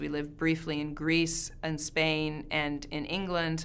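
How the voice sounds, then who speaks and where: With audible room echo, a woman speaks in a very deep, low pitch and a monotone, flat intonation. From Canada. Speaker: professor. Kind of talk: interview answer.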